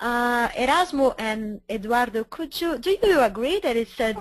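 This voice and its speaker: With a Brazilian accent, a woman talks at a fairly high pitch with lively intonation. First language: Portuguese. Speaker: webinar moderator, editor. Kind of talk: webinar panel moderation. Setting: online webinar.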